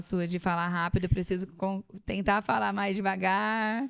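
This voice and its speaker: A woman talks in a monotone with flat intonation, recorded very cleanly against a silent background. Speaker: podcast host. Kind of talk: interview. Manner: fast.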